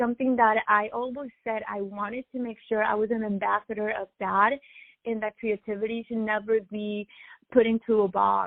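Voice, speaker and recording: At a moderate pace, a woman with a Spanish accent speaks at a fairly high pitch in a monotone, flat intonation, with big swings in loudness. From Latin America, Spanish-speaking. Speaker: musician, DJ and violinist. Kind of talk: interview.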